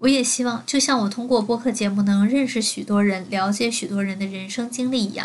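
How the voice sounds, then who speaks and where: Fairly quick delivery, somewhat breathy, with fairly even intonation over a quiet background. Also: woman. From Beijing and Jiangsu. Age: 20s. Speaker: podcaster. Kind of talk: personal monologue.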